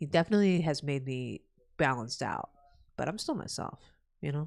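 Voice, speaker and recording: In a New Jersey accent, the speaker moves at a fairly quick pace. The tone is animated, with ordinary pitch variation. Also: woman, very deep, low pitch for a woman. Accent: New Jersey American. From New Jersey, USA. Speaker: gaming streamer. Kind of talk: casual live-stream chat. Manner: loud.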